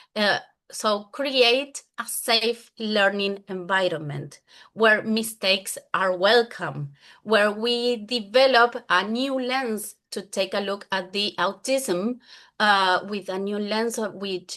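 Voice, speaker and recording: A woman speaks very slowly in a Spanish accent, her pitch sitting in the middle range. Her pitch varies in an ordinary way, and the background is quiet. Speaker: English teacher. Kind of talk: conference presentation.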